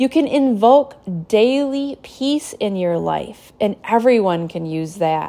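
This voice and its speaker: A woman's dark, mellow, soothing and gentle tone at a very slow pace. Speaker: spiritual teacher and podcast host. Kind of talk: guided meditation, calm spoken instruction. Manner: soothing, slow, gentle and reassuring; earnest, devotional.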